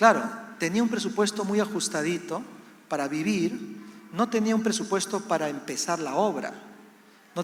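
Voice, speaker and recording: A man speaks with a Peruvian accent. His intonation is lively. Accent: Latin American (Peruvian). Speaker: missionary pastor. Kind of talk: sermon. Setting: church service.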